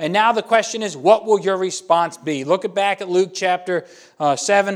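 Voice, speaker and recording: A man talks loudly at a fairly quick pace. His intonation is lively. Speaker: pastor. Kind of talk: sermon. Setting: church.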